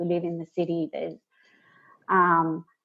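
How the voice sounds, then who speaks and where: A woman with an Australian accent, fairly low-pitched, at a moderate pace. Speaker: project manager and instructional designer. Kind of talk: casual interview.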